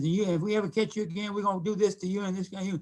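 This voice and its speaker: A man with an American accent projects a raised, high-pitched voice with a bright, sharp tone. His intonation stays fairly even, and the recording is very clean with a silent background. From Kansas City, Missouri. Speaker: retired police officer and community activist. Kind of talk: interview storytelling. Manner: halting, with frequent repetitions.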